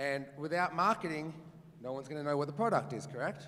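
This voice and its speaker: Someone with an Australian accent talks at a very fast pace in an animated tone, with ordinary pitch variation. The room echo is audible. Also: man. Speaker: real estate agent and auctioneer. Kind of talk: conference talk with audience Q&A. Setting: stage with live audience.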